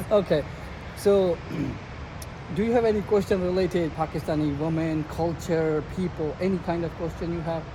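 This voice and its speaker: A man at a high pitch and moderate pace, with fairly even intonation, long, frequent pauses and noticeable background noise. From Pakistan. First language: Sindhi. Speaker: street interviewer. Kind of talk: casual interview.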